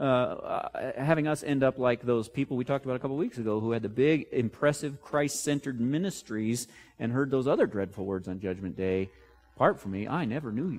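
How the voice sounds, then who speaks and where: Against a quiet background, a man with an ordinary speaking voice talks at a medium pitch and a fairly quick pace, his intonation lively. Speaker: pastor. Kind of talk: sermon, expository preaching.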